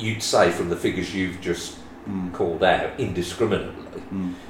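Over noticeable background noise, a man with a West Midlands accent speaks at a moderate pace with a very deep, low pitch and ordinary pitch variation. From West Midlands, England. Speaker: property owner guest. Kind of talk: casual interview chat.

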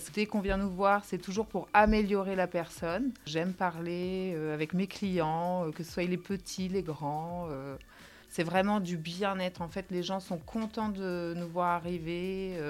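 With fairly even intonation, a woman talks very slowly at a medium pitch. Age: 30s. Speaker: nursing home hairdresser. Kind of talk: testimony.

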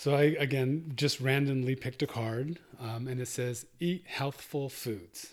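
A man with an unremarkable speaking voice talks at a medium pitch and a fairly slow pace, with hardly any pauses and fairly even intonation. The recording is very clean, with a silent background. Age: 50s. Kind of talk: interview.

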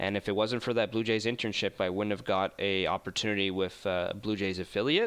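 A man with a Canadian accent and an ordinary speaking voice talks at a fairly quick pace with hardly any pauses. His pitch is fairly low, his intonation fairly even and his loudness very even. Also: quiet background. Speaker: sports broadcaster. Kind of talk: casual interview.

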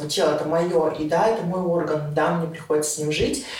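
Against noticeable background noise and audible room echo, a woman talks at a moderate pace with a very deep, low pitch and fairly even intonation. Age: 20s. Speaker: interview guest. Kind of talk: casual interview.

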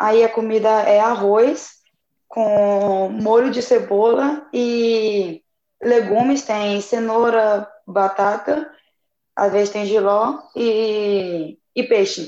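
A woman speaks at a fairly high pitch. Her tone is dark and mellow. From Brazil, Tocantins (Araguaína). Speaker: young missionary volunteer. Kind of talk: casual chat, sharing experiences.

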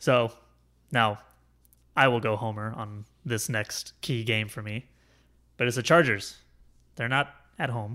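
A man's medium-pitched voice with fairly even intonation and long, frequent pauses, on a very clean recording against a silent background. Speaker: sports podcast host. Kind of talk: casual chat. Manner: fast.

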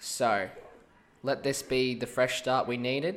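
A man's medium-pitched voice moves at a fairly slow pace. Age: young. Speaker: sports betting podcaster. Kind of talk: casual solo podcast on sports tips. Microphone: mic sensitivity turned right down, mouth very close.

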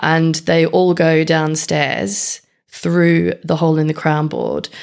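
A very deep, low-pitched voice from a woman. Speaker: beekeeping podcast co-host. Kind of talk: casual chat. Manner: projects voice, good levels.

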